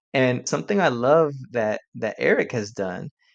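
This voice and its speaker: A man speaks at a medium pitch and a moderate pace. It is a plain, everyday voice over a quiet background. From Puerto Rican community in the US. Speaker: language advocate. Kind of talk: podcast conversation. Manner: frequent repetitions and restarts.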